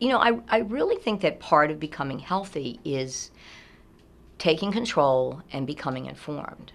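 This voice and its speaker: Her voice is very deep and low, with vocal fry and very wide pitch swings. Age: 60s. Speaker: early childhood teacher. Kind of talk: interview testimony. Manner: casual, many fillers.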